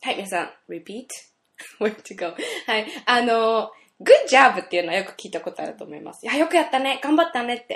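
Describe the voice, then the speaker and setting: Over a quiet background, a woman talks at a moderate pace in a high pitch. Her pitch swings very widely, and her loudness shifts a lot. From Saitama, Japan. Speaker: radio DJ and singer. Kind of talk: casual radio chat. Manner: lots of laughter.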